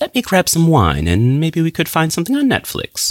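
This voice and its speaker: A man with an American accent speaks with very wide pitch swings. The sound is dry and close with no echo, on a very clean recording with a silent background. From US Midwest, Minnesota. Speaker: English teacher. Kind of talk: scripted narration.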